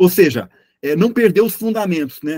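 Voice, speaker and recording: The intonation is lively. A man delivers it at a moderate pace. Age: 60s. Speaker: journalist and consultant. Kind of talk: interview. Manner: halting, many repetitions.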